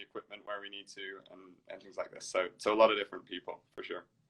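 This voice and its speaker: A man talks very fast in a medium pitch with a bright, sharp tone. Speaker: management consultant. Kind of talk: interview. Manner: hesitant, many fillers.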